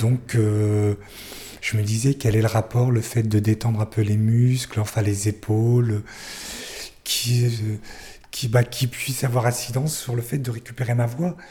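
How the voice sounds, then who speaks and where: Long, frequent pauses break up a man's somewhat breathy speech. His tone is dark and mellow, with fairly even intonation. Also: medium pitch for a man, fairly slow pace. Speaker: speech therapy patient. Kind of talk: testimony.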